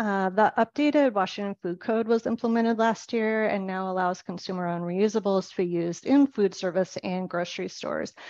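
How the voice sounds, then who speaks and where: A woman with a plain, everyday voice speaks at a medium pitch with ordinary pitch variation, in a dry, close sound with no echo and a quiet background. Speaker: grocery sustainability manager. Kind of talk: webinar presentation.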